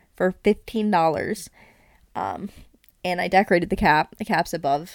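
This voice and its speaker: A woman with vocal fry speaks at a medium pitch and a moderate pace, with ordinary pitch variation, big swings in loudness, and long, frequent pauses. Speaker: podcast co-host. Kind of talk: casual chat. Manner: frequent laughter.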